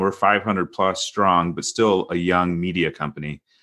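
An American-accented man with a very deep, low voice at a moderate pace, quiet background. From US Midwest (Detroit suburbs, Michigan). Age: 40s. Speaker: sports journalist and editor. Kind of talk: interview conversation. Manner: halting, many repeated starts.

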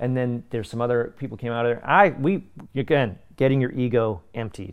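A man speaks in a normal speaking voice with a Canadian accent. His pitch is medium and his pace fairly quick. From Canada. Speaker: voice actor and martial artist. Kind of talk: casual interview.

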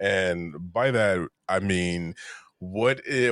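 Against a quiet background, a man talks in a normal speaking voice. His pitch is fairly low, with ordinary pitch variation. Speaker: podcast host. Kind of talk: casual interview chat. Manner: casual, chatty.

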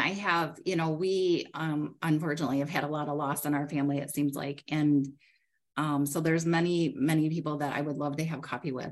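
With an American accent, a woman speaks at a fairly quick pace in a very deep, low pitch. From Michigan, US Midwest. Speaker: credit union CEO. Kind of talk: casual interview.

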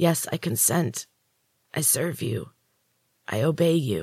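At a fairly slow pace, a put-on character voice of low-to-middle pitch sounds hoarse and croaky.

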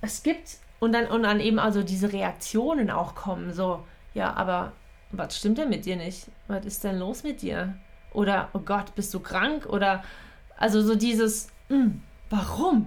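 Vocal fry marks a woman's speech at a fairly slow pace. The room echo is audible. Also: medium pitch for a woman, ordinary pitch variation. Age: 30s. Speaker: podcast host and coach. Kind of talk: solo monologue podcast. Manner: casual, with frequent fillers and laughs.

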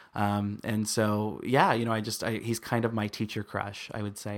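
In a very clean recording with a silent background, a man with an American accent speaks fairly quickly at a fairly low pitch, his intonation monotone and flat. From US Midwest. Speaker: podcast host. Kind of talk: casual chat.

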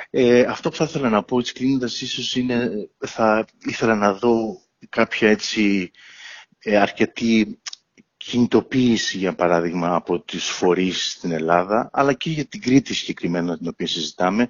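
Fairly slow delivery with ordinary pitch variation. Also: man, medium pitch for a man. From Crete, Ierapetra. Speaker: cardiologist. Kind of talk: interview. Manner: halting.

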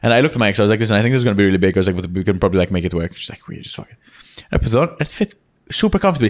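Talking at a very fast pace, a man makes very wide pitch swings and big swings in loudness. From Malta. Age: young. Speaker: comedian. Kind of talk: casual chat.

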